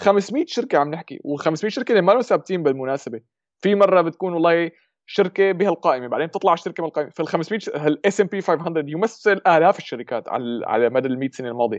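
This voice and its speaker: In a dry, close recording with no echo and a quiet background, a man with a high pitch talks at a fairly quick pace with lively intonation. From Syria (Damascus). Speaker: YouTuber on investing. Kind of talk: casual chat.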